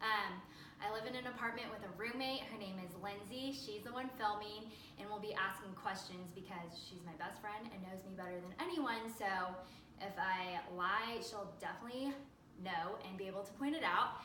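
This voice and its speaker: Speaking with an American accent, a woman uses a medium pitch and ordinary pitch variation, with audible room echo and noticeable background noise. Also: moderate pace. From Southern California, San Diego. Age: 20s. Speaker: social media manager, dating show applicant. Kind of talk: casting audition video, casual self-introduction. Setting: home apartment, filmed by roommate.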